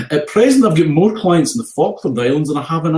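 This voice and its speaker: With a strong Scottish accent, a man talks at a very fast pace in a dark, mellow tone. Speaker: health and safety trainer. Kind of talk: casual chat.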